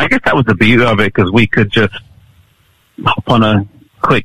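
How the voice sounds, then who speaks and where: In an East Midlands accent, a man speaks at a fairly quick pace in a monotone, flat intonation, with a dry, close sound and no echo. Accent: British English, East Midlands. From Nottingham, England. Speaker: youth pastor and video evangelist. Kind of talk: interview. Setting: video call from England.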